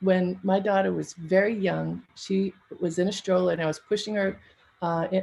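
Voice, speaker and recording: A woman with an American accent speaks at a medium pitch in a somewhat breathy voice. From US, Baltimore. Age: 60s. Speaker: event emcee. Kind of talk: casual personal storytelling. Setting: virtual livestream event.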